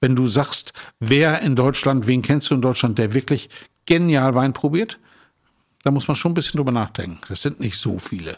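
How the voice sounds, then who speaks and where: At a moderate pace, a man with an ordinary speaking voice talks at a medium pitch with lively intonation. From northern Germany, Emsland. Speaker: wine merchant. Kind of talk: casual chat. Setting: hotel suite.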